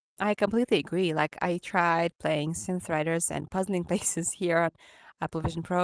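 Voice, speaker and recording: The sound is dry and close with no echo as a woman with a fairly low pitch speaks at a moderate pace with ordinary pitch variation. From Ukraine. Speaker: VR content creator. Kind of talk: casual chat. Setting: video call.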